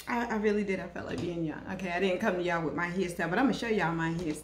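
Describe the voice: A woman talks at a very fast pace and a fairly low pitch, with ordinary pitch variation and faint background noise.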